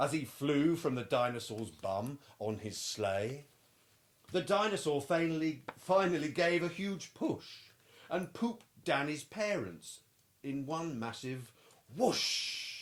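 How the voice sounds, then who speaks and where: Here a man with a British accent talks at a fairly high pitch. His delivery is very slow, with very wide pitch swings. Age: middle-aged. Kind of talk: children's picture book read-aloud.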